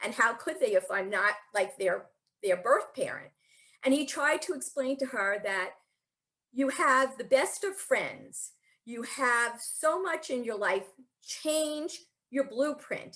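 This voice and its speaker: A woman speaks in a raised, projected voice with a high pitch and a bright, sharp tone, at a very slow pace with very wide pitch swings. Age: 60s. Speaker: spiritual speaker. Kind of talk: talk. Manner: conversational.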